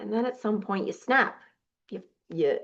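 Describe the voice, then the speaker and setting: In an American accent, a woman talks with an animated tone at a fairly high pitch. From New Jersey. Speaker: weight loss coach and podcast host. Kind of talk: podcast monologue.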